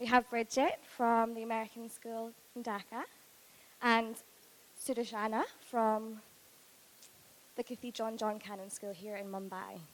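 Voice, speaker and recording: A woman's fairly high voice with a Scottish accent, fairly even intonation, big swings in loudness and long, frequent pauses. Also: moderate pace. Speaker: university recruiter, panel moderator. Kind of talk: panel presentation.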